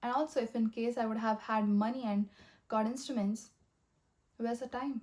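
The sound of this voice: At a fairly high pitch, a woman speaks in a slightly mellow tone with fairly even intonation. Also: moderate pace.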